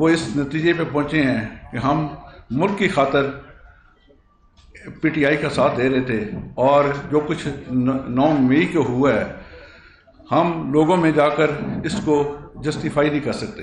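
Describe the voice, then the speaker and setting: A man's fairly high pitch with ordinary pitch variation and long, frequent pauses, amid noticeable background noise and audible room echo. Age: 60s. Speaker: local party politician and businessman. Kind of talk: press conference statement. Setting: press conference. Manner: halting, some stammering.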